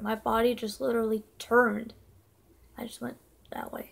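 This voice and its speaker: A woman mumbles her words. Her pace is moderate. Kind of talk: casual talk to camera. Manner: mumbling; slurred.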